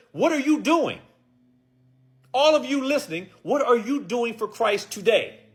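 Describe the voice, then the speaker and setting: With audible room echo, a man speaks at an extremely high pitch and fairly slow pace in an animated tone, leaving long, frequent pauses. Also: lively intonation. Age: 60s. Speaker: preacher. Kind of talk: sermon.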